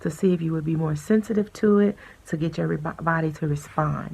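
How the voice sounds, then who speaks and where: The woman's tone is dark and mellow, and somewhat breathy. She speaks at a fairly quick pace. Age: 40s. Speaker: vlogger sharing personal health journey. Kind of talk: personal testimony. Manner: hesitant, many fillers.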